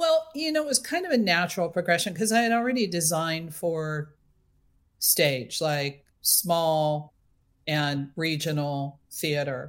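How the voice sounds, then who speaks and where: Fairly low in pitch, a woman with an American accent and a plain, everyday voice speaks at a fairly slow pace with lively intonation. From coastal Central California. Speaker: film production designer. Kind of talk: interview.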